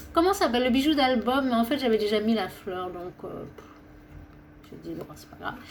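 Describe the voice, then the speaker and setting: A woman talks with lively intonation at a fairly high pitch. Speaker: craft video maker. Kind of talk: casual craft presentation. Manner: fast, stumbling.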